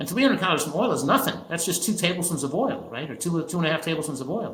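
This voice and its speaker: A man speaks at a very fast pace in a fairly high pitch, with audible room echo and noticeable background noise. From New Jersey. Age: 70s. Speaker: physician and nutrition expert. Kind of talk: interview. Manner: halting, with frequent self-corrections.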